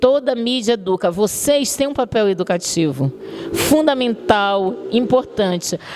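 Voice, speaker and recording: A woman with a São Luís accent speaks at a medium pitch with lively intonation. Noticeable background noise can be heard. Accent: São Luís (Maranhão). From Brazil, São Luís do Maranhão. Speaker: communication professor. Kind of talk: lecture. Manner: conversational, addresses audience directly.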